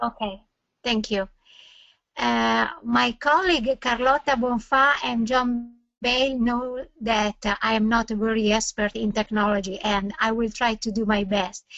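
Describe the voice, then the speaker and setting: A woman's fairly high voice at a fairly slow pace, with fairly even intonation and very even loudness. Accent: Italian. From Italy. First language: Italian. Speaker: neurologist. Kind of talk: webinar lecture. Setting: online webinar. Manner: halting.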